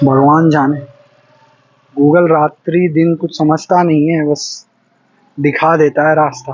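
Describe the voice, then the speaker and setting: A man with a Bihar accent speaks in a monotone, flat intonation. He leaves long, frequent pauses. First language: Maithili (speaking Hindi). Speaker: travel vlogger. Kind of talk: walking vlog monologue. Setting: outdoors, walking on a deserted road at night.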